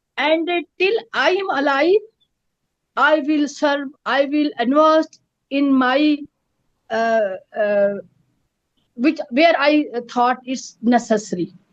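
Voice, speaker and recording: A woman in a Pakistani Kashmiri accent, high-pitched with lively intonation, at a very slow pace with long, frequent pauses. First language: Pahari. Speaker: peace activist. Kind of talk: interview. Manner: halting, many fillers.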